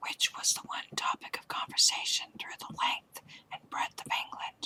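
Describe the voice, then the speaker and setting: A woman whispering at a moderate pace, with big swings in loudness and a dry, close sound with no echo. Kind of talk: audiobook story reading; ASMR. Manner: whispered.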